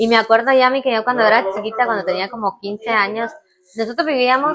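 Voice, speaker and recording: A woman speaks very fast in a fairly high voice, with ordinary pitch variation. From Guatemala, born in Cuba. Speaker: channel co-host. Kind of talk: casual chat. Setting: home kitchen.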